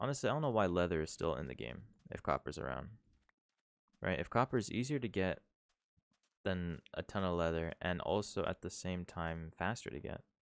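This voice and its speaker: On a very clean recording with a silent background, a man with a very deep, low voice and vocal fry talks at a fairly quick pace, with very wide pitch swings and long, frequent pauses. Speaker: gaming youtuber. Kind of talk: let's play commentary. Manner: quieter than usual; casual.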